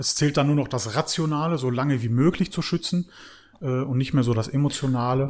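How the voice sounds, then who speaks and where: A man with a fairly high pitch speaks in a normal speaking voice, his pitch moving in an ordinary way. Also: fairly quick pace. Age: 30s. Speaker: car detailing business owner. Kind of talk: casual chat. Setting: recorded standing at guest's premises.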